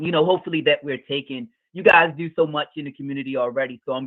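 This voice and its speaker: A man's animated, fairly high-pitched voice at a very fast pace. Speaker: mental health practitioner, parent. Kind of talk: podcast interview.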